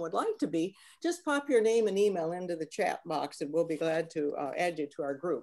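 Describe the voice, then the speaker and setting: With a dark, mellow tone and lively intonation, a woman talks at a fairly quick pace against a quiet background. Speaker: speaker. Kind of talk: webinar introduction. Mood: warm, friendly, smiling. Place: home room. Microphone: webcam.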